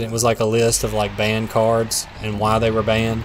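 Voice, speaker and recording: A man with a Southern US accent talks at a fairly quick pace and medium pitch, with audible room echo and noticeable background noise. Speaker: gaming streamer. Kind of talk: casual live stream chat while gaming.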